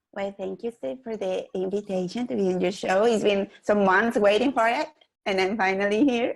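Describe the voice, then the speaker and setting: A woman speaks in a Mexican accent. Her pitch is medium, with ordinary pitch variation. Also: moderate pace. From Mexico City, Mexico. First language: Spanish. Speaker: real estate investor. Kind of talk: interview guest. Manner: halting, with hesitations.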